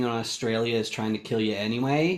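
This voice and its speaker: Audible room echo surrounds a man talking at a moderate pace, with a medium pitch and ordinary pitch variation. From Canada. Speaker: podcast panelist. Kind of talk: casual chat.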